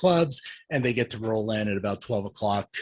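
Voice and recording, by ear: A man speaks at a fairly low pitch, with a slightly husky edge and lively intonation.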